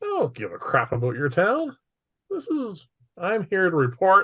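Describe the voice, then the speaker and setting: A man puts on a character voice pitched high. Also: moderate pace. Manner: dismissive, curt.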